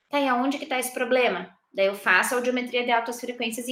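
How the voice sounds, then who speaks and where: The woman's voice is high-pitched, with a bright, sharp tone. Room echo is audible. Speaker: university lecturer in audiology. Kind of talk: recorded lecture.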